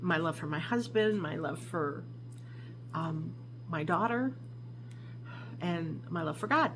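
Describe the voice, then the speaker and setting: There is audible room echo around a woman's voice. She speaks with an American accent at a fairly slow pace. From New York, Albany area. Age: 60s. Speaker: craft vlogger. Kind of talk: casual vlog introduction. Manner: hesitant, with many fillers.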